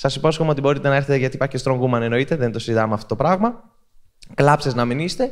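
The man's voice sits fairly high. He rushes along very quickly. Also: ordinary pitch variation, quiet background. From Greece. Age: 30s. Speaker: content creator giving a talk. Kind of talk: public talk at a festival. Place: hall. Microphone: handheld.

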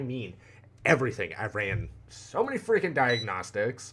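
A man at a medium pitch and a moderate pace, with lively intonation. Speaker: gaming youtuber. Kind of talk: gameplay commentary. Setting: home recording room. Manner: animated. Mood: animated, joking. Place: home room. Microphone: headset.

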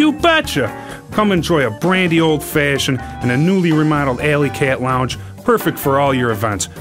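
A man talks at a moderate pace with a fairly high pitch and lively intonation. Clear music plays in the background. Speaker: radio announcer. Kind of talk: radio commercial read. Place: booth. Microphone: studio mic.

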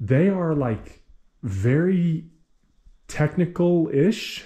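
A man talks in a somewhat breathy voice with a dark, mellow tone and lively intonation. The background is quiet. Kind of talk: casual vlog chat. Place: garage. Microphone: phone near.

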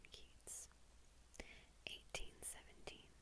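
A woman is speaking. She whispers. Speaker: ASMR creator. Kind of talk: poetry reading. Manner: whispered. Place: home room. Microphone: lapel.

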